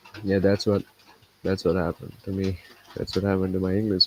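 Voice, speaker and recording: A man with a non-native accent speaks in a dry, close sound with no echo. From India. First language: not English. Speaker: trading streamer. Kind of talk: live stream casual talk. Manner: halting, repetitive.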